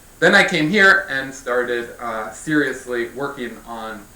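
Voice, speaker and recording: With audible room echo, a man at a medium pitch speaks with big swings in loudness. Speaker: physics researcher. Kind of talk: scientific lecture. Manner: fast. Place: hall.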